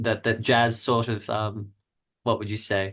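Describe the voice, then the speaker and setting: Someone with an Australian accent talks at a moderate pace against a quiet background. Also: man. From Australia, Melbourne. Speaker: jazz guitarist and music researcher. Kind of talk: podcast interview. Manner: halting, many repeated words.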